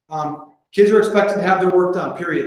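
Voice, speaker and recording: Intonation stays fairly even as a man speaks at a high pitch. The room echo is audible. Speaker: school principal presenting to colleagues. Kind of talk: conference presentation. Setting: conference room with audience. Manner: fast.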